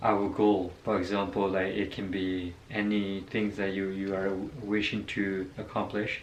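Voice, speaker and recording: The speaker is a man with a fairly low pitch. Room echo is audible. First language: not English. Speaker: vlogger. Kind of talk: casual personal story. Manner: halting, many fillers.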